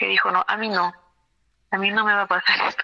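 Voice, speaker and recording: A woman speaks in an unremarkable speaking voice, fairly high in pitch, with fairly even intonation. The sound is dry and close, with no echo. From Peru, Cusco. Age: 30s. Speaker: dentist. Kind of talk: testimony.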